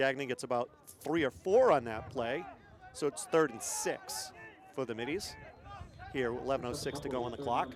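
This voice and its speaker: A man speaks at a moderate pace, leaving long, frequent pauses. Background noise is noticeable. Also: medium pitch for a man, ordinary pitch variation. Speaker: play-by-play announcer. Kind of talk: live commentary.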